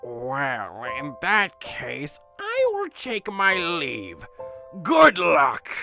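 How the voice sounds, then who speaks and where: A put-on character voice at middle pitch and a very slow pace, with faint music in the background. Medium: read story. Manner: wry, theatrical.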